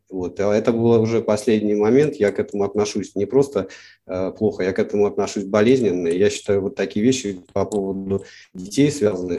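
Delivered at a moderate pace with ordinary pitch variation, the speech comes through in a very clean recording with a silent background. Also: man. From Russia, St. Petersburg. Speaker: cartoonist. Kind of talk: interview. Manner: halting.

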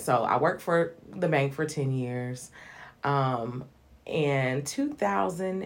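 Here a woman's voice sits at a very deep, low pitch. She speaks at a fairly slow pace with ordinary pitch variation. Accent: Southern US. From US South (Hinesville, Georgia). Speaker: evangelist and singer. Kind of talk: casual interview.

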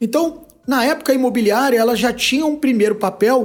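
A man's extremely high-pitched voice at a fairly quick pace. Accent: Rio de Janeiro. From Rio de Janeiro, Brazil. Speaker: business executive. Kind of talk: interview. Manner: hesitant with fillers.

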